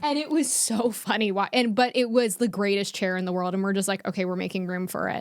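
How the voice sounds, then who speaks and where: A woman at medium pitch talks at a very fast pace with hardly any pauses. Her tone is animated, with ordinary pitch variation. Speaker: comedian podcast co-host. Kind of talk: casual chat. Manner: loud.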